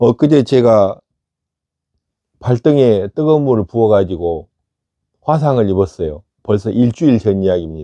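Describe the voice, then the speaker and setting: A man's voice, fairly low and dark, mellow in tone, comes through a dry, close sound with no echo. He speaks at a moderate pace with lively intonation, very even loudness, and long, frequent pauses. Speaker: meditation teacher. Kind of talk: talk on meditation practice.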